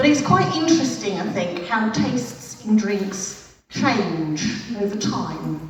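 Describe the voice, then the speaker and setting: In an English accent, the speaker uses lively intonation at a very slow pace, with audible room echo and noticeable background noise. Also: woman, medium pitch for a woman. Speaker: stand-up comedian. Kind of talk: stand-up. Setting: stage with audience. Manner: loud; animated.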